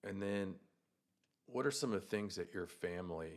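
A man's fairly low voice, ordinary pitch variation, moderate pace. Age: 40s. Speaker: wellness podcast host, cancer survivor. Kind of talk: casual interview.

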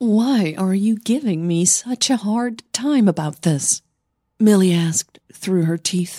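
Over a quiet background comes an unforced reading voice whose pitch varies in an ordinary way.

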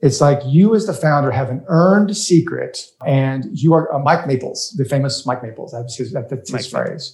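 Speaking at a moderate pace with hardly any pauses, a man with an American accent has a fairly high, somewhat breathy voice and ordinary pitch variation. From US South, rural Louisiana. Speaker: startup investor and crowdfunding advocate. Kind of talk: casual interview.

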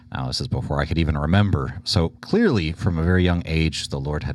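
A man's very deep, low voice with vocal fry, an American accent and ordinary pitch variation. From Texas (Houston). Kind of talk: casual conversation.

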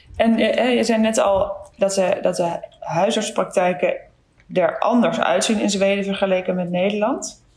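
Keeping very even loudness, a woman speaks at a fairly slow pace and medium pitch with ordinary pitch variation over noticeable background noise. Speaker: podcast host, general practitioner. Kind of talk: interview. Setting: video call.

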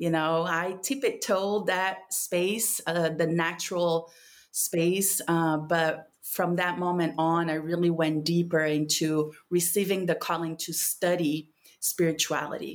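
Her voice fairly low, a woman with a Portuguese accent speaks at a fairly slow pace in a fairly even tone. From Brazil, São Paulo. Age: 30s. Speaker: spiritual mentor and plant medicine practitioner. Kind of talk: casual conversation with a friend.

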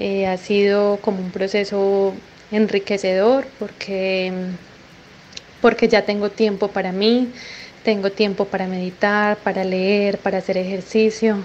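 Here a woman talks fairly slowly at a medium pitch. Her intonation is monotone and flat. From Colombia. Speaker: caller. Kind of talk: recorded voice message.

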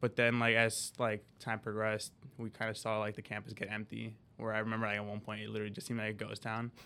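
Very fast and monotone, a man with an American accent and a fairly low pitch speaks in a bright, sharp tone over a very clean recording with a silent background. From Chicago area, US Midwest (Skokie suburb). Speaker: college student, student club president. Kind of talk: podcast interview. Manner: casual, many fillers (um, like).

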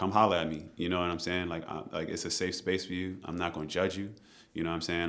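A man talks at a very fast pace in a very deep, low voice. His intonation is monotone and flat, with audible room echo. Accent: American. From Maryland, US. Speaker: chef and restaurant owner. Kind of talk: podcast interview. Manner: casual.

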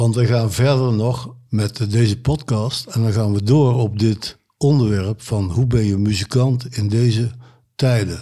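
A somewhat breathy man at a very slow pace, in a very clean recording with a silent background. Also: medium pitch for a man, fairly even intonation. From Kempen, Brabant. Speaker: musician, saxophonist. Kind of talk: casual chat.

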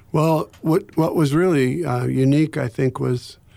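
A man with a normal speaking voice and a fairly high pitch is heard on a very clean recording with a silent background. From Ohio, US. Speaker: pastor and former Navy chaplain. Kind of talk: interview, telling personal story of 9/11 aftermath. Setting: radio studio. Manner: reflective, sombre, measured.

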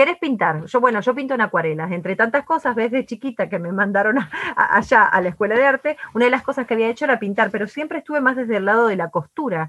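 A woman at a very fast pace with hardly any pauses, fairly high pitch, lively intonation and a dry, close sound with no echo. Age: 40s. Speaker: entrepreneur and artist. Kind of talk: interview conversation. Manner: energetic.

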